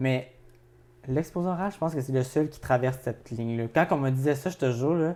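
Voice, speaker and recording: At a fairly quick pace, a man speaks in a dark, mellow tone with a fairly high pitch, ordinary pitch variation and big swings in loudness. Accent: Quebec. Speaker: podcast co-host. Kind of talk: casual chat.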